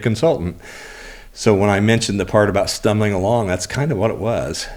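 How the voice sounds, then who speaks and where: At a fairly quick pace, a man with an American accent uses ordinary pitch variation in an ordinary speaking voice. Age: 60s. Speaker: auto body shop owner and business coach. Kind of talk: interview, life story.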